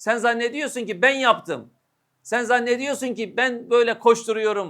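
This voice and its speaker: The recording is very clean, with a silent background. A man speaks at an extremely high pitch and a fairly slow pace. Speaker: Islamic preacher. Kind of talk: sermon.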